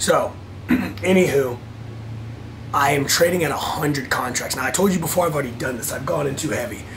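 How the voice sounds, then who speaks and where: A man speaks at a moderate pace with lively intonation and a medium pitch. Room echo is audible, and background noise is noticeable. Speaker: vlogger and futures trader. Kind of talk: casual vlog. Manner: animated.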